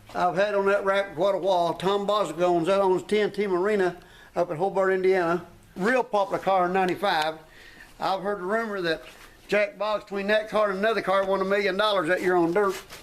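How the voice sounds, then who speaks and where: With an American accent, a man talks at a high pitch in a monotone, flat intonation, his loudness very even throughout. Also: fairly quick pace. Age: 60s. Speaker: race car builder and driver. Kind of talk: casual interview during shop tour. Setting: workshop tour.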